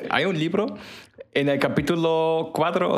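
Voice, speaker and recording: With ordinary pitch variation, the male speaker is heard through audible room echo and noticeable background noise. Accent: German. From Germany. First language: German (speaking Spanish). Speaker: podcast co-host. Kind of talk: casual chat.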